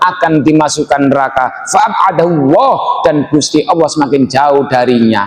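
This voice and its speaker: A man with a Javanese accent speaks over noticeable background noise. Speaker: Islamic preacher. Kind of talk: religious sermon to a congregation. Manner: relaxed, humorous.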